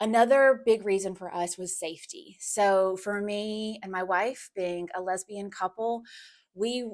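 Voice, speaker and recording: A woman with an American accent speaks at a fairly slow pace and a medium pitch, with fairly even intonation. It is a plain, everyday voice on a very clean recording with a silent background. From United States. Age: 40s. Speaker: relocation business founder. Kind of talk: personal testimony vlog.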